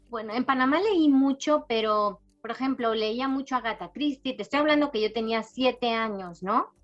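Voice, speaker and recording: A woman's high voice at a moderate pace, with hardly any pauses, ordinary pitch variation and music in the background. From Spain and Panama, raised partly in Latin America. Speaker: novelist. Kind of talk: interview.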